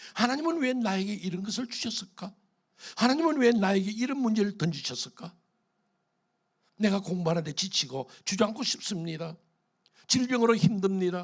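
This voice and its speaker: Someone talks at a fairly quick pace with lively intonation. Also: man. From Korea, Gyeongsang region. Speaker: pastor. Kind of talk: sermon. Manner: animated.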